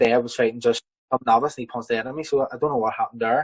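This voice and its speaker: A man speaks with a Belfast accent. His intonation is monotone and flat. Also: dry, close sound with no echo. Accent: Belfast, Northern Irish. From Belfast, Northern Ireland. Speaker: professional boxer. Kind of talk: interview answer. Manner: casual, hesitant.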